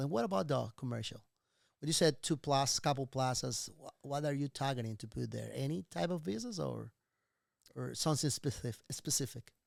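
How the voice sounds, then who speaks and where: In a Venezuelan accent, a man speaks at a fairly quick pace with a medium pitch and ordinary pitch variation. The recording is very clean with a silent background, and the sound is dry and close with no echo. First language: Spanish. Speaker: real estate investor. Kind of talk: casual interview chat.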